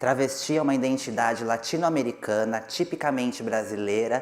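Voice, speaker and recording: A woman with a Brazilian accent, very deep and low in pitch, talking at a very fast pace with ordinary pitch variation. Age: 30s. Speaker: actress. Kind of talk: panel presentation.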